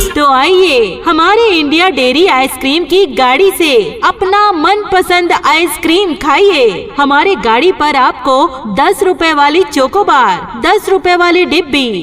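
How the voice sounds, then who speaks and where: A woman's extremely high voice sounds upbeat, with lively intonation and very even loudness over noticeable background noise. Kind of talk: street vendor loudspeaker advertisement. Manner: upbeat, persuasive.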